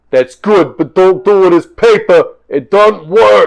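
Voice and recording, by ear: A high male voice in a put-on character style, delivered fairly slowly, from a man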